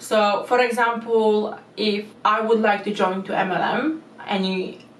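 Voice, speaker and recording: A woman speaks at a medium pitch with ordinary pitch variation. Noticeable background noise runs underneath. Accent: non-native. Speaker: YouTube commentary creator. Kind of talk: casual explainer commentary to camera.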